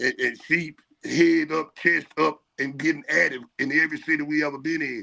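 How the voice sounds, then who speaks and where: This man's fairly high voice has a bright, sharp tone and vocal fry, with fairly even intonation. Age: 60s. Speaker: music artist. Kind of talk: panel discussion on livestream. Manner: repetitive, stammering.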